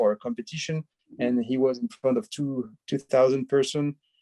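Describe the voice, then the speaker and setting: A man with a French accent, medium pitch, a dark, mellow tone and fairly even intonation, in a dry, close sound with no echo. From France, the Alps. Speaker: film director. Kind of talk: interview. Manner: halting, many hesitations.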